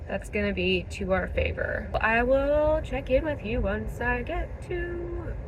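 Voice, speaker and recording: The speech runs on with hardly any pauses. Noticeable background noise and audible room echo fill the recording. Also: woman. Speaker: fashion vlogger. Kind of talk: casual vlog chat. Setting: in a car.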